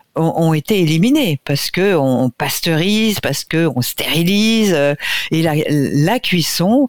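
Speaking very slowly at a fairly low pitch, a woman uses lively intonation, and the sound is dry and close with no echo. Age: 60s. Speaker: nutrition expert. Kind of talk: radio interview.

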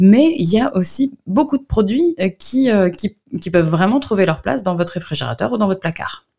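Somewhat breathy, a woman talks at a fairly quick pace and medium pitch with very wide pitch swings. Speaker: nutritionist and book author. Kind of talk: radio interview. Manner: hesitant, many fillers.

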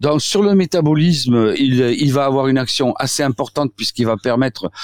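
A man with a slight southwestern French accent talks at a moderate pace and medium pitch, his intonation lively, the sound dry and close with no echo. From southwestern France. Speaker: doctor, osteopath. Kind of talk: radio interview. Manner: halting, many repetitions and fillers.

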